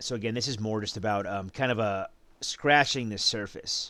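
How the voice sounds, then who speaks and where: A raspy put-on character voice from a man, medium in pitch, at a moderate pace. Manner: bored, flat.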